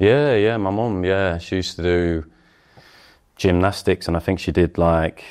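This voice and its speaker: A man speaks at a moderate pace in a very deep, low voice. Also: ordinary pitch variation. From England. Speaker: professional footballer. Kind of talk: interview. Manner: hesitant, many fillers.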